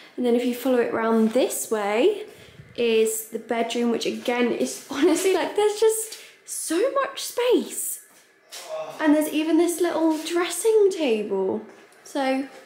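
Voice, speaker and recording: At a fairly slow pace, a woman speaks with a high pitch, with audible room echo and light background noise. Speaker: travel vlogger. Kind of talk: casual vlog chat. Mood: excited, laughing. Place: home room. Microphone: phone near.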